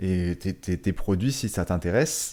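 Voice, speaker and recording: A man's dark, mellow tone sits on a very clean recording with a silent background. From northern France. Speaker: network marketing podcaster. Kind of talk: casual monologue podcast. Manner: halting, many fillers and repetitions.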